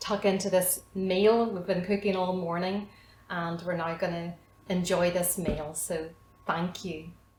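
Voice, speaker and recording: With a Northern Irish accent, the speaker goes at a very slow pace amid audible room echo and noticeable background noise. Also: woman. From Northern Ireland, County Armagh. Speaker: cooking instructor. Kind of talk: cooking tutorial. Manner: hesitant, many fillers.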